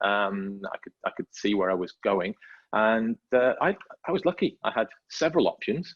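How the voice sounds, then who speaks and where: With a slight Welsh accent, a man speaks at a moderate pace and makes very wide pitch swings. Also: medium pitch for a man. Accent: faint Welsh, barely noticeable. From North Wales. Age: 50s. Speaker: motorsport safety manager. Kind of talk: podcast interview. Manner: hesitant, many fillers and repeats.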